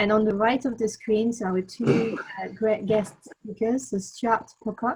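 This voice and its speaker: A woman's fairly high, somewhat breathy voice with a French accent and fairly even intonation. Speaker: webinar host. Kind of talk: webinar presentation. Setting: video call webinar.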